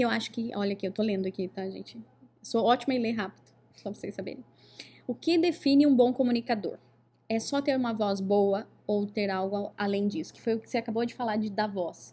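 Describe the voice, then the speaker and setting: A woman talks at a fairly quick pace and fairly high pitch, with ordinary pitch variation and big swings in loudness. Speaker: podcast host, oratory teacher. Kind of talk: casual podcast interview. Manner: animated.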